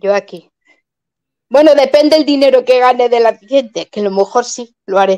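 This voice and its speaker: A dark, mellow tone at a moderate pace, with ordinary pitch variation and a quiet background. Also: woman, high pitch for a woman. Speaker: YouTuber, viewer of the live stream; YouTuber. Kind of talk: casual chat. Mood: cheerful, joking. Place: home room. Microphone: webcam.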